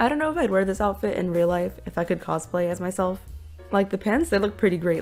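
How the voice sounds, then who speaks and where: Over music in the background, a woman speaks at a very fast pace. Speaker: artist. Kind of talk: casual voiceover narration.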